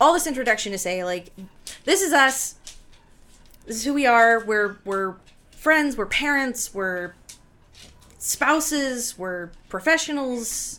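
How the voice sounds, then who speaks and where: Very slow female speech with long, frequent pauses, a high pitch and very wide pitch swings. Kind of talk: casual chat, actual play recap. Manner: jokey, chatty.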